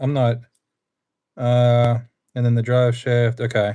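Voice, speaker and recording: A medium-pitched man with a Pennsylvania accent. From Pennsylvania, US. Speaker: RC hobbyist streamer. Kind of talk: casual live stream chat. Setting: live stream.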